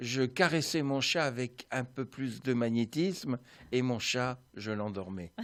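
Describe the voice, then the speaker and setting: With music in the background, a man at a medium pitch speaks at a very slow pace with ordinary pitch variation. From France. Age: 60s. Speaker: energy healer. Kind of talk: radio interview.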